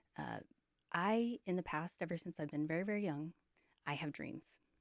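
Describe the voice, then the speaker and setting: Quietly, a woman speaks at a fairly low pitch with ordinary pitch variation. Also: dry, close sound with no echo. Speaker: video blogger sharing dreams. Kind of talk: casual monologue. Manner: quiet, hushed; hesitant, many fillers.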